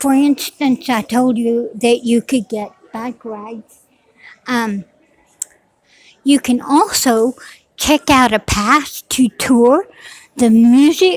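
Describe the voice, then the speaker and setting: Her voice is high in pitch, with ordinary pitch variation and a dry, close sound with no echo. This woman talks at a very slow pace, with long, frequent pauses. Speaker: vlogger. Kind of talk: walking tour vlog. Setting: public library. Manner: loud; halting.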